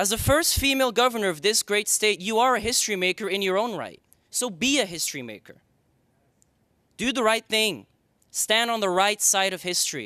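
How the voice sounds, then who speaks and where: A man speaks in a raised, projected voice. His pitch is high and his pace fairly quick. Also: ordinary pitch variation, very clean recording, silent background. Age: 20s. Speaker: documentary filmmaker. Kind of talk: public comment speech. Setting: public board meeting.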